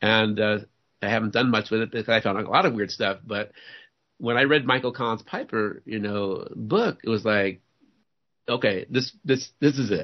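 This man has an American accent and a normal speaking voice of medium pitch. He talks at a moderate pace with ordinary pitch variation. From US South, New Orleans. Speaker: researcher on false flag attacks. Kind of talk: interview.

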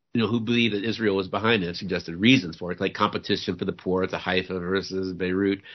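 A man with an American accent talks at a very fast pace, with hardly any pauses. His pitch is very deep and low. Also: fairly even intonation. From US South, New Orleans. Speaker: researcher on false flag attacks. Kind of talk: interview.

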